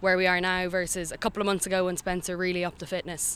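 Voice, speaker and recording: Bright and sharp, a woman's voice comes through with a Dublin accent on a very clean recording with a silent background. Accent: Irish (Dublin). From Ireland, Dublin. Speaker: language student and amateur Gaelic player. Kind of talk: interview.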